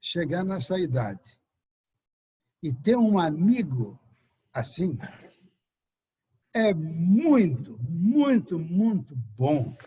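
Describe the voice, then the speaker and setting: Delivered at a very slow pace with long, frequent pauses, this dark, mellow voice moves through very wide pitch swings. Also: man, high pitch for a man. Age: 70s. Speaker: friend giving a tribute. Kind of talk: speech.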